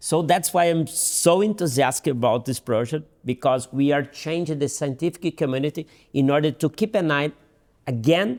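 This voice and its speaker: A man with a Portuguese accent talks at a fairly high pitch with ordinary pitch variation. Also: very clean recording, silent background. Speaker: dental surgeon. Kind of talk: interview. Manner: halting, with repeats and fillers.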